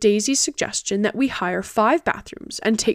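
Ordinary pitch variation in reading aloud in a natural voice

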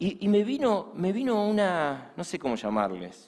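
A man talks with very wide pitch swings. Room echo is audible. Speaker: pastor. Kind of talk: sermon.

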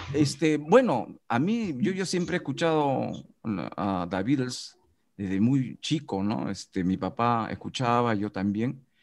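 A man speaks at a very slow pace. His pitch swings very widely over a quiet background. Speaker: radio announcer and teacher. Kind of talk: casual chat. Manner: hesitant, many fillers.

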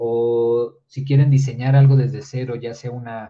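Monotone, flat speech from a man at a medium pitch, dark and mellow in tone, somewhat breathy, at a fairly slow pace. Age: 20s. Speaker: engineering student and content creator. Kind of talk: casual interview.

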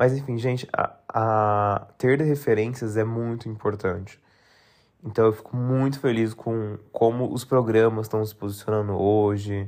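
Against a quiet background, an ordinary speaking voice moves at a fairly slow pace with fairly even intonation. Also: man, medium pitch for a man. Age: 30s. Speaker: podcast host. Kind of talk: solo podcast monologue.

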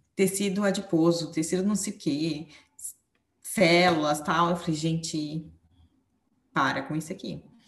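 At a fairly slow pace, a woman speaks in a fairly low voice with ordinary pitch variation. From Brazil, São Paulo. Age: 20s. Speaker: psychologist. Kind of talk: casual interview.

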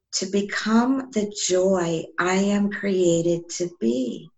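With a calm tone and a somewhat breathy sound, a woman talks with ordinary pitch variation. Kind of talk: casual interview.

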